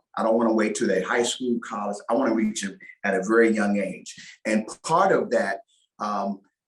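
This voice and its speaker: A man at a moderate speed, his pitch fairly low and his intonation fairly even, an unremarkable speaking voice. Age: 60s. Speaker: former NFL player and choir singer. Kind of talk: interview.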